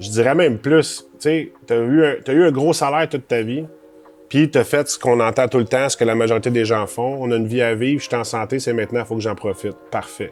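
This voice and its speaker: This man talks at a fairly quick pace in a Quebec accent, his medium pitch moving with ordinary variation. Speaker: financial planner. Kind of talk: advice monologue. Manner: casual.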